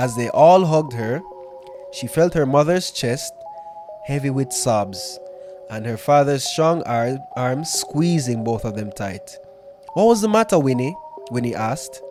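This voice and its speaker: With music playing behind him, a man talks at a fairly slow pace in a fairly high pitch, his intonation lively and his pauses long and frequent. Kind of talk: storytelling podcast, ghost story reading.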